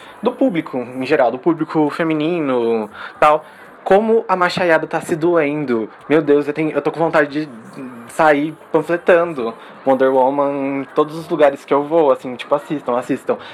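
Noticeable background noise sits behind a man speaking at a moderate pace and fairly high pitch with ordinary pitch variation. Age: 20s. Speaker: pop culture podcaster. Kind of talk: casual chat.

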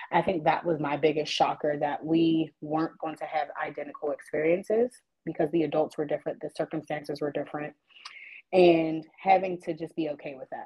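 Very deep and low for a woman, her voice moves at a fairly quick pace with monotone, flat intonation. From Pittsburgh and West Virginia, US. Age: 30s. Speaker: realtor. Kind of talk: interview conversation.

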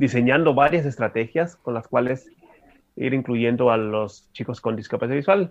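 A man is speaking. His intonation is lively. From Mexico, Tijuana, Baja California. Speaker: special education adviser and adapted sports expert. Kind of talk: radio interview. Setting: radio studio.

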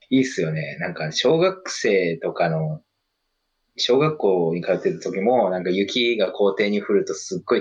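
A man's voice with big swings in loudness. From Japan, Kagawa. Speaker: podcast co-host. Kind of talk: casual chat.

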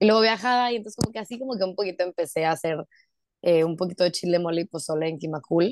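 A woman talks very fast in a fairly low voice. The sound is dry and close with no echo, over a quiet background. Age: 20s. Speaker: lawyer and amateur runner. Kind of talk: casual interview chat.

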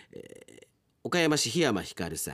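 Very wide pitch swings and vocal fry mark this voice, captured on a very clean recording with a silent background. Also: man. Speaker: radio announcer. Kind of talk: casual radio talk, reading listener mail. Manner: animated.

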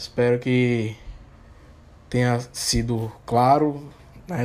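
A man's monotone, flat intonation. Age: 30s. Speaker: lawyer. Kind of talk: legal explainer monologue. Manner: halting, many filler hesitations.

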